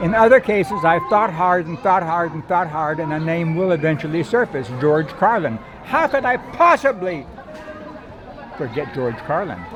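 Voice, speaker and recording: Noticeable background noise sits behind a man speaking at a moderate pace. His pitch is high, with lively intonation. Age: 80s+. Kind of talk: casual first-person monologue to camera. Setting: outdoors.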